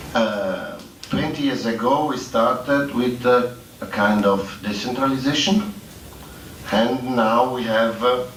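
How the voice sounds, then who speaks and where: With a non-native accent and a medium pitch, a man talks at a fairly slow pace amid noticeable background noise and audible room echo. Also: ordinary pitch variation. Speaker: public employment services expert. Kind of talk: conference presentation. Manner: halting, many fillers.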